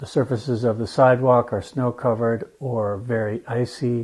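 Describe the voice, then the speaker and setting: This man speaks at a moderate pace in a medium pitch, with fairly even intonation. His voice is somewhat breathy. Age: 60s. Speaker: legally blind resident. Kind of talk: interview testimony.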